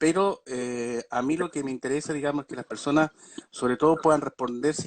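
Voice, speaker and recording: The sound is dry and close, with no echo. A man talks at a fairly high pitch with ordinary pitch variation. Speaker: doctor specializing in vertigo. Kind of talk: online talk on a medical topic. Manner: fast; many filler words (eh, digamos).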